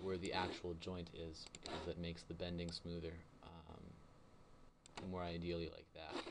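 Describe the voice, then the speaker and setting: A man's very deep, low voice, flat and monotone, with audible room echo. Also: fairly slow pace. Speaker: animation tutorial maker. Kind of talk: tutorial. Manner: halting, many fillers and repeats.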